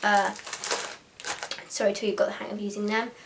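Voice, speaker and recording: A woman with a British accent speaks at a medium pitch. Room echo and noticeable background noise can be heard. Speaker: vlogger. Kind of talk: tutorial. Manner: fast.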